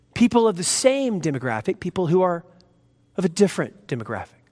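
A man's high voice with a dark, mellow tone, very wide pitch swings and a moderate pace. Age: 40s. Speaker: pastor. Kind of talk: sermon. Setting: church.

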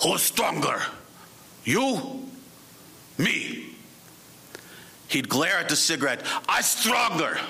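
A man's put-on, growling character voice in a Russian accent, high-pitched with very wide pitch swings, very slow with long, frequent pauses, over clear background noise.

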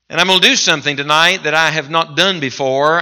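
This man has a bright, sharp tone, a fairly high pitch and an Appalachian accent. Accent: Appalachian US Southern. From West Virginia mountains. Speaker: visiting revival preacher. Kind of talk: sermon. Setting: church with congregation. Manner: animated, impassioned preaching.

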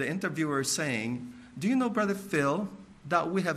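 There is audible room echo as a man speaks. His tone is bright and sharp, with very wide pitch swings. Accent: American. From Filipino American, US. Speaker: missionary. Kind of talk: sermon.

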